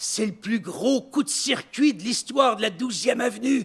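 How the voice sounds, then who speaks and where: A man speaks at a fairly slow pace. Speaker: storyteller. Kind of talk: stage storytelling performance.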